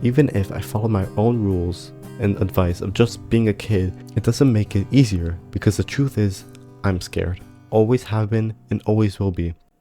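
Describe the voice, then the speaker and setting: Music plays in the background as a man talks at a moderate pace. His pitch is fairly low and varies in an ordinary way. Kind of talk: reflective personal narration.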